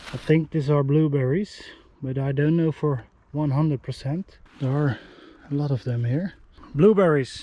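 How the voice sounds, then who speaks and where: With a dark, mellow tone, a man of fairly high pitch speaks at a moderate pace with ordinary pitch variation and long, frequent pauses. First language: not English. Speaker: outdoor survival vlogger. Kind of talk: vlog narration. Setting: outdoors. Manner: halting.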